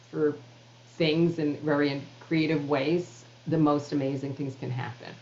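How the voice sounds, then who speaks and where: Speaking in a New York accent, a woman has a very deep, low pitch and fairly even intonation at a moderate pace. Noticeable background noise runs behind her. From New York City (Queens). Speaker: author and public speaker. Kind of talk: interview conversation.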